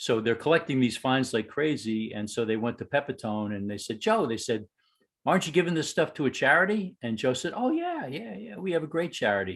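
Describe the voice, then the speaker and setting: With a New York accent, a man speaks at a fairly quick pace and a medium pitch. His pitch swings very widely, and the background is quiet. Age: 60s. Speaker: baseball fan, fantasy camp attendee. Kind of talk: casual chat. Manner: animated.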